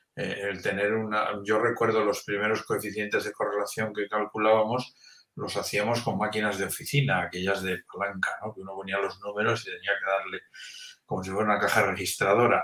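The speech moves at a fairly quick pace. Its intonation stays monotone and flat. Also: man, fairly low pitch for a man. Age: 60s. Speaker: emeritus professor of education research. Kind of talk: interview.

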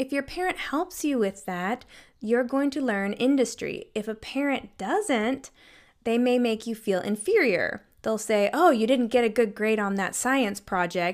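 A woman talks at a fairly slow pace with a fairly high pitch and lively intonation, in a plain, everyday voice. The recording is very clean, with a silent background. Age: 30s. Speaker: mental health counselor, podcast host. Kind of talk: solo educational podcast talk. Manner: casual, conversational.

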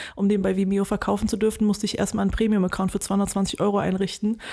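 Talking at a very fast pace, a woman keeps a medium pitch and monotone, flat intonation with a dark, mellow tone. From Germany, Wuppertal. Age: 30s. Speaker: filmmaker. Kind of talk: interview.

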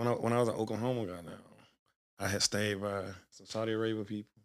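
A man talks at a fairly quick pace with fairly low pitch. His intonation is fairly even. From Birmingham, Alabama. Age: 30s. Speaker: former college football player. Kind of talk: casual chat.

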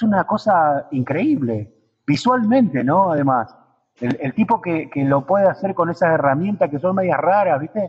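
His pitch sits high for a man, with lively intonation. This man keeps a moderate pace. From Argentina, Río Negro (Allen). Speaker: puppeteer. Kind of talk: radio interview. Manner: halting, many repetitions.

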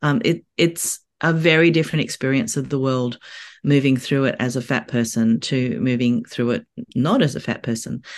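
An Australian accent at a moderate pace. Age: 50s. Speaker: author. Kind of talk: casual interview chat. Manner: halting, many fillers.

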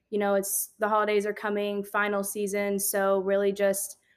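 In a very clean recording with a silent background, a woman talks at a moderate pace and medium pitch in a normal speaking voice. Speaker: podcast host. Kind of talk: casual podcast chat.

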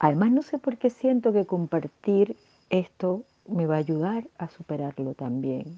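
A woman's fairly low, dark and mellow voice at a fairly slow pace, dry and close with no echo. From Venezuela. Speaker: podcast host. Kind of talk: personal reflection monologue. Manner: subdued, less cheerful than usual; halting, many fillers.

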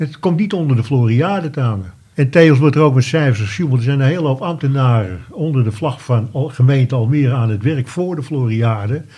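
He has a medium pitch and a dark, mellow tone that is somewhat breathy. The man talks at a fairly quick pace with ordinary pitch variation. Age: 70s. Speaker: retired wine merchant, listener. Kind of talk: casual interview. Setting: studio.

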